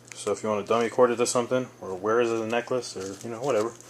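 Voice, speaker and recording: A man delivers his words at a very fast pace, with medium pitch. His intonation stays fairly even, and noticeable background noise is present. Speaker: military veteran. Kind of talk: casual product review to camera.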